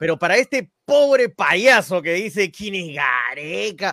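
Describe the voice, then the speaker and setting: The man's pitch swings very widely, and the sound is dry and close with no echo. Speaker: football pundit. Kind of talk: radio football talk show.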